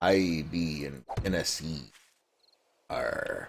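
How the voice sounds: A man does a put-on character voice with a very deep, low pitch.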